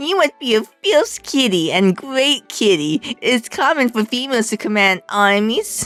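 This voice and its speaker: A woman's put-on character voice, high in pitch, at a moderate pace with hardly any pauses and faint music in the background. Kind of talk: kitty talk. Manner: goofy.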